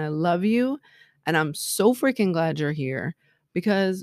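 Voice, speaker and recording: With lively intonation, a woman speaks in an animated tone. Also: dry, close sound with no echo. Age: 40s. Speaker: life and love coach, podcast host. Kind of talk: solo motivational talk.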